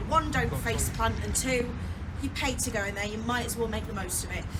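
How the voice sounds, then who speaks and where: A woman talks at a fairly quick pace in a Yorkshire accent. Audible room echo and noticeable background noise are present. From Yorkshire, northern England. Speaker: tour guide. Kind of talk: guided tour talk. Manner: animated, joking.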